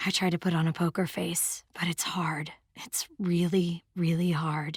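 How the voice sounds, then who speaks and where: A woman speaks in a put-on character voice, raspy and fairly low-pitched. Her intonation stays monotone and flat at a moderate pace. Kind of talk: text story reading. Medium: read story.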